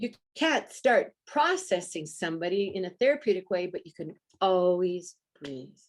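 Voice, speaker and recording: A woman speaks in a normal speaking voice at medium pitch and a moderate pace. Her intonation is lively, with big swings in loudness. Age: 60s. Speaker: breathwork practitioner working with birth trauma. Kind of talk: interview.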